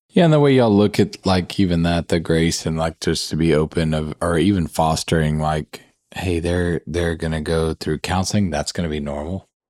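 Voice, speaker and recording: A man with a very deep, low voice and a Southern US accent talks at a moderate pace with fairly even intonation and hardly any pauses. The recording is very clean, with a silent background and a dry, close sound with no echo. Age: 40s. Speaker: podcast host. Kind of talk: casual chat.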